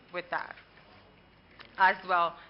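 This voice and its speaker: A woman is speaking. Her pace is moderate. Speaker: conference rapporteur. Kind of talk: conference report-back.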